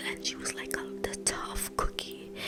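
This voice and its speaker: Music plays in the background as a woman speaks at a moderate pace. Her voice is very deep and low, with monotone, flat intonation. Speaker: ASMR creator. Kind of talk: casual whispered rambling to camera about her life. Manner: soft, whispered, reflective.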